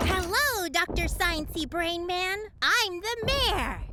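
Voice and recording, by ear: This is a cartoonish character voice at an extremely high pitch. Clear background noise can be heard. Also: fairly slow pace.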